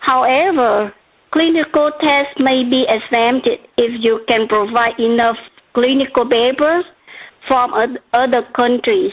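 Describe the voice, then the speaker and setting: A woman with a Vietnamese accent talks at a fairly slow pace in a high voice, her loudness very even and her pitch variation ordinary. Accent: noticeable Vietnamese. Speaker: regulatory consultant presenter. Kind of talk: webcast presentation.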